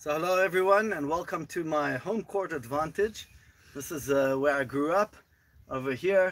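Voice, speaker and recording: A man speaks with a South African accent and a fairly high pitch. His pace is moderate, his pitch variation is ordinary, and the recording is very clean with a silent background. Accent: South African-tinged English. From Israel (Gush Etzion). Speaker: tour guide. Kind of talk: guided tour. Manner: enthusiastic.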